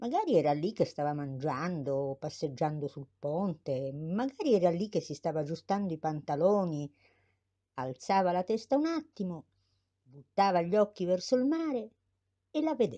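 A woman speaks at a fairly low pitch and a moderate pace, with very wide pitch swings. Her tone is dark and mellow against a quiet background. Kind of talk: dramatic theatrical monologue narration. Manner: animated, intense, building to a shouted climax.

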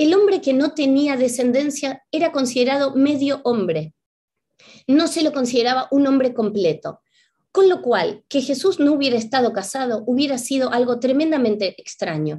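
A woman with a high pitch and a dark, mellow tone speaks at a moderate pace with lively intonation against a quiet background. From Argentina, Buenos Aires. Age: 50s. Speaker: spiritual teacher and author; spiritual teacher. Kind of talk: lecture. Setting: video call. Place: home room. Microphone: webcam.

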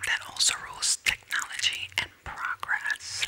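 Someone whispers at a fairly slow pace. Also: woman. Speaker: ASMR creator. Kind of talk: ASMR reading. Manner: whispered. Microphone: studio mic.

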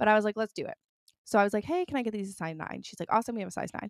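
The speaker has a Canadian accent, ordinary pitch variation and an animated tone. The sound is dry with no echo, and the background is quiet. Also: woman. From Toronto, Canada. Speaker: lifestyle podcaster; podcast host. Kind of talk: casual chat; casual podcast chat. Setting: studio. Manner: fast. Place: home room. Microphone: studio mic.

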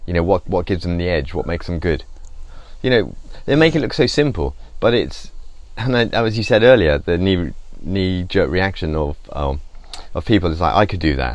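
Using a very deep, low pitch with vocal fry, a man speaks with lively intonation and long, frequent pauses in a dry setting with no echo. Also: moderate pace. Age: 50s. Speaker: painter. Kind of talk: casual chat. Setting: studio. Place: workshop.

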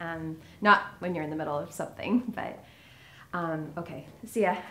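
This woman's voice carries vocal fry. Light background noise can be heard. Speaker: actor in scripted scene. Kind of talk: scripted dialogue, awkward goodbye. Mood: awkward, hesitant, friendly. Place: home room.

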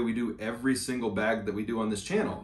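A man talks at a fairly quick pace, with audible room echo around him. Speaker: bag reviewer. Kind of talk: product review walkthrough. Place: home room.

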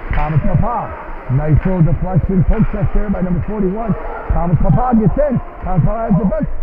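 Over noticeable background noise, a high-pitched man talks at a fairly quick pace in an enthusiastic tone with lively intonation. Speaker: amateur hockey play-by-play announcer. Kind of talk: rapid-fire live hockey play-by-play, clipped fragments tracking the puck. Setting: rink-side at a live game. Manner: enthusiastic, folksy hype-man energy.

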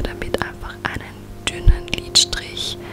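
Music plays in the background as a woman whispers at a very slow pace. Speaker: beauty YouTuber. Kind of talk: ASMR makeup tutorial. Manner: whispered. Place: home room.

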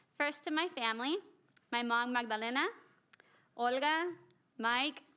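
Loud and high-pitched, a woman speaks with an American accent and a bright, sharp tone on a very clean recording with a silent background. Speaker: city council member. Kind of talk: inaugural speech. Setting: council chamber with mic. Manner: fast.

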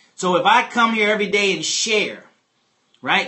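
Against a quiet background, a man speaks in a high pitch with an animated tone. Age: 50s. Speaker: real estate investor and money coach; financial education host. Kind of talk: live-stream money talk to viewers; livestream teaching talk. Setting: live stream on a phone app. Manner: animated, lots of repetition. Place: home room.

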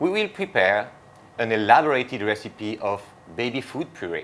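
The man takes a fairly slow pace as he talks. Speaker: host presenter. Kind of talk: presenting introduction. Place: kitchen.

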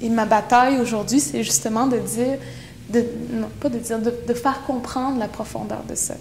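Speech comes at a fairly slow pace with long, frequent pauses over light background noise. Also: woman. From Quebec, Innu from Pessamit; Quebec. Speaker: poet and activist; poet. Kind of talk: interview. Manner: halting. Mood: earnest, reflective. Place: empty room. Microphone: lapel.

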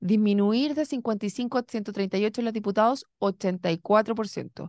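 A woman's fairly high voice with ordinary pitch variation, dry sound with no echo and a quiet background. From Chile. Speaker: radio political podcast host. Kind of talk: political discussion. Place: studio. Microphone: studio mic.

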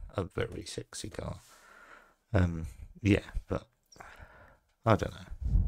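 In an English accent, a man with a very deep, low pitch and vocal fry speaks at a very slow pace with long, frequent pauses and ordinary pitch variation against a quiet background. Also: dry sound with no echo. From England. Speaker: scale model builder. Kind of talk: hobby tutorial video; casual hobby show-and-tell. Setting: at a hobby desk. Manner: casual with frequent hesitations. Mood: relaxed, a bit unsure. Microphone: phone near.

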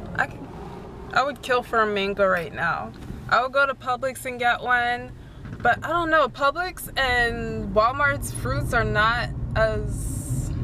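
A woman at a fairly slow pace, with noticeable background noise and a dry sound with no echo. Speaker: vlogger. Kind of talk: casual vlog chat. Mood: chatty, amused. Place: car. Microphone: phone near.

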